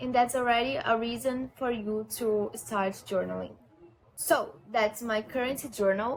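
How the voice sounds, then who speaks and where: This woman talks at a fairly slow pace with a non-native accent. Her pitch is fairly high, her intonation fairly even, and background noise is noticeable. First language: not English. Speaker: lifestyle vlogger. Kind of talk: casual vlog talk to camera. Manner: halting, with repetitions.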